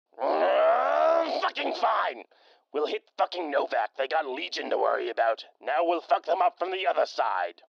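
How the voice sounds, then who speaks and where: Moderate pace in a put-on character voice. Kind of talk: radio drama. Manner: angry, profane.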